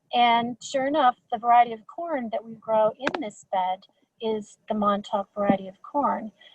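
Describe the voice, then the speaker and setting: This voice is somewhat breathy and moves at a fairly slow pace. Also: woman. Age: 60s. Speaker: school garden leader. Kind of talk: webinar talk. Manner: halting, many repetitions.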